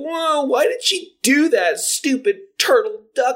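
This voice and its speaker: In a put-on character voice, a man sounds whiny, with a whiny tone, extremely high pitch, and a fairly slow pace. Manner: mocking, whiny.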